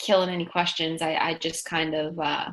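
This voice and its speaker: A woman at a moderate pace, on a very clean recording with a silent background. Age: late 20s. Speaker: physical therapist. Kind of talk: casual interview chat. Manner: halting, many fillers.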